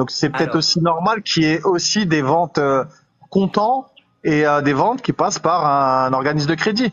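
At a moderate pace and very even loudness, a man with a plain, everyday voice speaks in a fairly high pitch with lively intonation. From Île-de-France. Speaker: live stream viewer joining on air. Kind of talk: casual chat.

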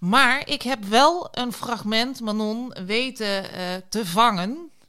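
Lively intonation from a woman with a fairly high pitch and a bright, sharp tone, on a very clean recording with a silent background. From rural Netherlands. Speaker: podcast co-host. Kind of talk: casual chat.

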